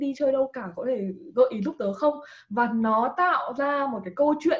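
A woman with a high voice and ordinary pitch variation talks at a moderate pace. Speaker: scholarship advice page creator, former student abroad. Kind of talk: casual interview.

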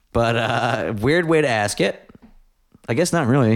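A man is talking. His pace is fairly slow. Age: 30s. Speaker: podcast host and guitarist. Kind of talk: casual chat. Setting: home recording.

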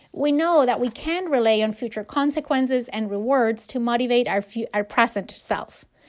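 A high-pitched woman at a moderate pace with hardly any pauses, in a very clean recording with a silent background. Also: ordinary pitch variation. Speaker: podcast host, HR professional and fitness coach. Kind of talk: solo self-help podcast monologue.

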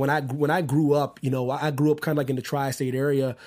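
Here a man speaks at a fairly high pitch with an American accent. The recording is very clean, with a silent background. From Pennsylvania, US. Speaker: basketball podcast host. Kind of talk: casual sports talk show. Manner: animated.

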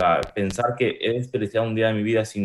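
A man's fairly low voice, an unremarkable speaking voice, with fairly even intonation at a moderate pace. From Spain, moved from Uruguay at age 6. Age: 20s. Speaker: e-commerce entrepreneur. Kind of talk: casual interview chat.

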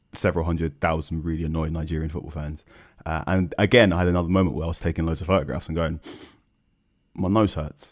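With an English accent, a man speaks very fast at a very deep, low pitch, his intonation fairly even, on a very clean recording with a silent background. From London, England. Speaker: football journalist. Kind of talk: casual chat.

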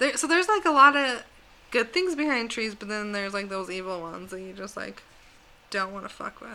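A plain, everyday voice from a woman of medium pitch, fairly quick pace, lively intonation and big swings in loudness. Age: 20s. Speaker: podcast co-host. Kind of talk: casual chat.

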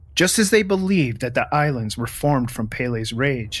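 A plain, everyday voice from a man, fairly high in pitch, with lively intonation. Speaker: true crime podcast narrator. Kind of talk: true-crime narration. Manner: measured, serious storytelling pace; formal, scripted delivery.

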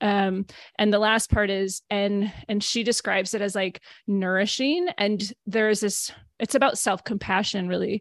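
A woman with an American accent speaks in a normal speaking voice at medium pitch and a moderate pace. The background is quiet, and the sound is dry and close with no echo. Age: 40s. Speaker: podcast host and narrative therapy coach. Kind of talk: casual interview chat.

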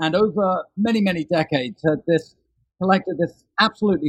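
Dry and close with no echo, the recording captures a man. He moves at a fairly quick pace, his pitch varying ordinarily. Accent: British. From London, England. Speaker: author. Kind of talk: interview.

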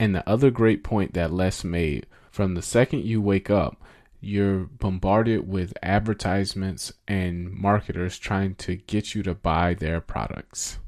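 Against a quiet background, a man with a very deep, low pitch talks at a fairly slow pace with ordinary pitch variation. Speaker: podcast host. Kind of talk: podcast intro and outro commentary.

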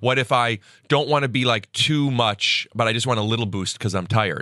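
Speaking with an American accent at a moderate pace, a man uses a medium pitch with ordinary variation and a bright, sharp tone, in a dry, close sound with no echo. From US Midwest. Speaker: stand-up comedian and podcaster. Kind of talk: casual chat. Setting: studio.

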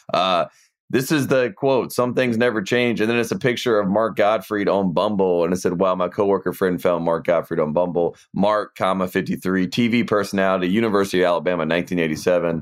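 A man with a Southern US accent speaks at a fairly quick pace in a very deep, low voice, his loudness very even and hardly any pauses, on a very clean recording with a silent background. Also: ordinary pitch variation. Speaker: sports podcast co-host. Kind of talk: casual chat. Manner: mumbles.

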